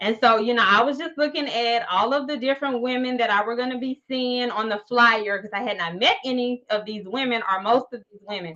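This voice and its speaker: This woman talks with a bubbly tone at a high pitch, fairly quickly and with hardly any pauses. Her loudness swings widely while her pitch varies in an ordinary way. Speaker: podcast host. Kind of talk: casual interview chat.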